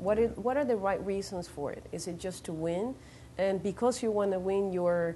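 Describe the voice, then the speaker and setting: A woman speaks at a fairly slow pace with a Venezuelan accent and a dark, mellow tone. Her pitch varies in an ordinary way, with light background noise. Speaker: actress and model. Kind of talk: interview answer. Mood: thoughtful, reflective. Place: studio. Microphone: lapel.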